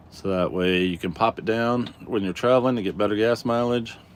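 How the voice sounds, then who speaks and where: With an American accent, a man talks in a relaxed tone at a moderate pace. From Colorado. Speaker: live streamer. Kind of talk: casual live stream chat. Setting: inside a truck camper. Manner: relaxed, casual.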